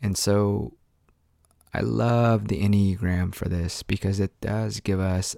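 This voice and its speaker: Very deep and low, a man's voice has a dark, mellow tone and fairly even intonation at a fairly slow pace. The recording is very clean, dry and close with no echo, over a silent background. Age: 30s. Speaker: solo podcaster, Enneagram coach. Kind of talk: casual solo monologue. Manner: rambling, hesitant with many fillers.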